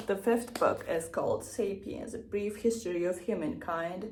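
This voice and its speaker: A woman with a non-native accent, somewhat breathy, at a medium pitch with ordinary pitch variation and a fairly slow pace, amid audible room echo. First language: not English. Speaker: book vlogger. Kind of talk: casual vlog talk. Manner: casual, filler-heavy.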